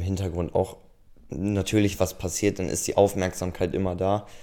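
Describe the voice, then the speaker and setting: In a monotone, flat intonation, a man speaks at a moderate pace with a very deep, low pitch and a dark, mellow tone. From Lower Saxony, Germany (Obernkirchen). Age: 20s. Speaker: camera operator and photographer. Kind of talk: casual interview.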